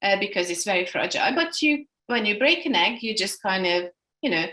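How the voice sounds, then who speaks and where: With a Hungarian accent, a woman speaks in a bright, sharp tone. Her pitch swings very widely. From Hungary. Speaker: energy healing instructor. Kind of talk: workshop instruction. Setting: video call. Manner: halting.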